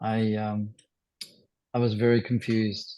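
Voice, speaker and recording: At a fairly slow pace, a man with a New Zealand accent speaks at a medium pitch in a dark, mellow tone. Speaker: spiritual healer. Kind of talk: talk to online group. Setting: video call.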